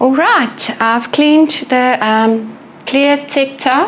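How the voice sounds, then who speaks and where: Against noticeable background noise, a woman with a high pitch and ordinary pitch variation speaks very slowly with a South African accent. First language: Afrikaans. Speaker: glass artist. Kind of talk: tutorial. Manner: casual, occasional stumbles.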